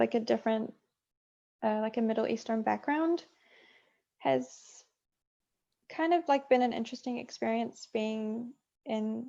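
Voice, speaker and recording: A woman speaks in a New Zealand accent at a fairly high pitch with ordinary pitch variation. Her tone is dark and mellow, and her pace is fairly slow. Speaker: game producer. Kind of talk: interview. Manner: hesitant, many fillers.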